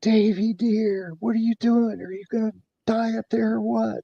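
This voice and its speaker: Putting on a character voice, a man talks at a moderate pace and a high pitch, with a dry, close sound and no echo. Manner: scolding.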